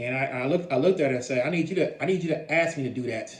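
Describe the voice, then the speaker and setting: Speaking at a very fast pace, a man with a fairly high pitch and ordinary pitch variation is heard over noticeable background noise and audible room echo. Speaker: vlogger sharing personal experiences. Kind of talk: personal storytelling monologue. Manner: halting, many repetitions.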